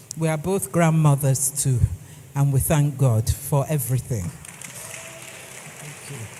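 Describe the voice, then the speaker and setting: A woman speaks with a very deep, low pitch and ordinary pitch variation, her loudness swinging widely. Her pace is fairly slow, with long, frequent pauses and crowd noise in the background. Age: 60s. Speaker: etiquette trainer. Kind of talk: lecture.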